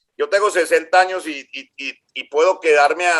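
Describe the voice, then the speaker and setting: This man has a bright, sharp tone. Ordinary pitch variation runs through his speech. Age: 60s. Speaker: engineering graduate, electrician, county employee. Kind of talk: interview.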